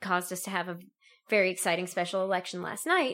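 Recorded very cleanly against a silent background, a woman speaks at a medium pitch in an unremarkable speaking voice. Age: 20s. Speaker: law student. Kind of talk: casual chat.

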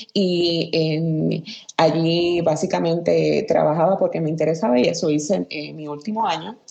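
Against noticeable background noise, a woman with a fairly low pitch speaks with fairly even intonation. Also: moderate pace. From Aguada, western Puerto Rico. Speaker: former journalist, communications professional. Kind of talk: casual interview. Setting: remote call, early morning. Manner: halting, many fillers.

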